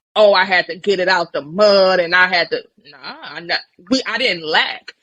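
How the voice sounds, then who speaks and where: A woman talks in an animated tone at a moderate pace and medium pitch. Her pitch varies in an ordinary way while her loudness swings widely. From Nigeria, Benin City, then Brooklyn, New York. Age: 20s. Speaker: life coach, army veteran. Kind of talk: interview, casual chat.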